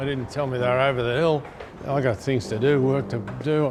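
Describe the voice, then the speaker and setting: Very fast speech from a man with an Australian accent, amid noticeable background noise and audible room echo. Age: 80s+. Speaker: veteran 4WD mechanic. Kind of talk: scripted casual chat.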